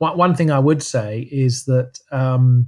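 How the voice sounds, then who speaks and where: This man's voice has a dark, mellow tone at a medium pitch. It sounds somewhat breathy. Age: 60s. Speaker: professor of physical activity and health. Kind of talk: casual interview. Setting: remote call. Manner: halting, frequent repetitions.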